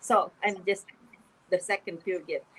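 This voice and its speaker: Speaking at a very slow pace, a woman is heard. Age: 70s. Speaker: author and spiritual speaker. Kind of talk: interview. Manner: halting, with frequent repetitions.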